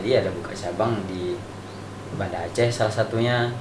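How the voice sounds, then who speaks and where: Noticeable background noise and audible room echo fill the recording. The man speaks at a fairly quick pace. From Riau, Indonesia. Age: 20s. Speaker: Quran memorization student. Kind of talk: interview.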